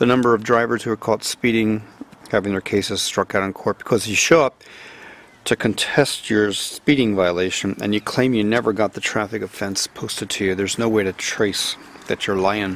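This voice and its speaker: At a moderate pace, a man with an American accent and an ordinary speaking voice talks at a medium pitch in a dry sound with no echo. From United States. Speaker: news reader commentator. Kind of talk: casual newspaper review to camera. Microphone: phone near.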